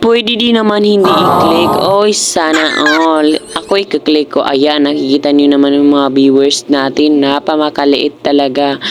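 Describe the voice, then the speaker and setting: The speech runs on with hardly any pauses. Noticeable background noise is present. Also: fairly slow pace. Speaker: vlogger. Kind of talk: casual vlog. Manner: loud; animated.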